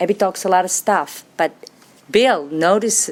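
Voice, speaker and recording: With a Serbian accent, a woman speaks at a medium pitch and a fairly slow pace with lively intonation over noticeable background noise. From Serbia, Belgrade. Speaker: recovering alcoholic speaker. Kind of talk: testimony.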